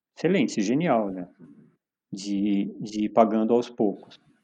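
Over a quiet background, a dark, mellow voice moves at a moderate pace with ordinary pitch variation. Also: man. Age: 50s. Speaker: climbing gym owner. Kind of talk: casual chat.

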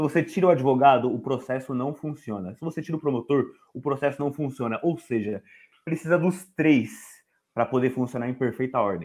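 An ordinary speaking voice at a fairly quick pace with ordinary pitch variation against a quiet background. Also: man, medium pitch for a man. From São Paulo, Zona Leste. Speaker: law student. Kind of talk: casual chat.

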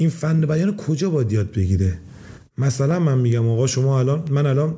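Audible room echo surrounds a man's dark, mellow, somewhat breathy voice. He talks at a moderate pace with very wide pitch swings. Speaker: property investor. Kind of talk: casual chat.

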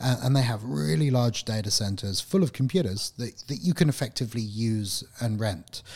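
Somewhat breathy man of medium pitch, lively in intonation, at a fairly quick pace with hardly any pauses. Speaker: IT professional, podcast co-host. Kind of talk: casual chat.

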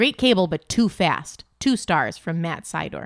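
A woman with an ordinary speaking voice and lively intonation, in a very clean recording with a silent background. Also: dry, close sound with no echo. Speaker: podcast co-host. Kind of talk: casual chat. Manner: talkative, playful.

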